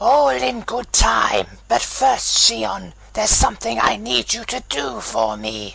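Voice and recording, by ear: A cartoonish character voice with a fairly bright tone and vocal fry. It moves at a slow pace with very wide pitch swings.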